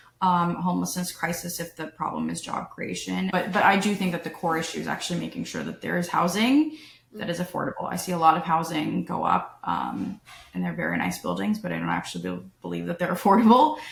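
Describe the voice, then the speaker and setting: A woman speaks at a very fast pace, with noticeable background noise around her. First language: non-English (post-Soviet family). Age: 30s. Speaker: political candidate. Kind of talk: interview.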